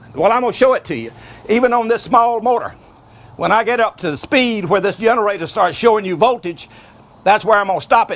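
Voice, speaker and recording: Raising and projecting his high voice, a man speaks at a fairly quick pace with ordinary pitch variation. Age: 70s. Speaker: inventor. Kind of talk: demonstration.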